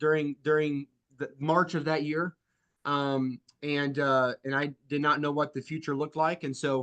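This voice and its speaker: The voice has a bright, sharp tone and monotone, flat intonation. The sound is dry and close with no echo, over a quiet background. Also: man. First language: French. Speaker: insurance sales agency leader. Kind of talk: sales training talk. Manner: halting, many fillers.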